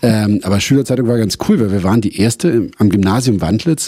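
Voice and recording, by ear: This voice has a dark, mellow tone with a slightly husky edge, moving at a fast pace with ordinary pitch variation. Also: man.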